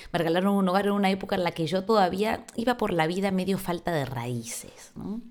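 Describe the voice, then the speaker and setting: Her pitch sits in the medium range. The woman's pitch moves in an ordinary way. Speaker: podcast host. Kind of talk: monologue on quarantine diary podcast.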